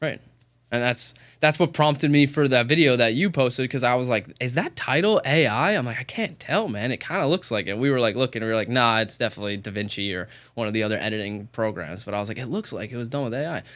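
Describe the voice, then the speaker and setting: A man's medium-pitched voice with an American accent, very fast in pace and lively in intonation. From New York. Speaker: content producer and podcast host. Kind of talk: casual chat. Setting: studio. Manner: animated, halting.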